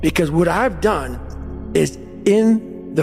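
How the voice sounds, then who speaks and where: Music plays in the background as a man talks at a very slow pace. His tone is intense. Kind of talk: motivational speech. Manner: intense, profane.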